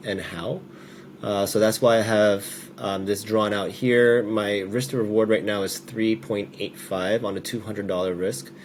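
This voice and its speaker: Speaking at a moderate pace, a man with a fairly low pitch shows ordinary pitch variation. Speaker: day trader vlogger. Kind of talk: casual trading vlog commentary. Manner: hesitant, many fillers.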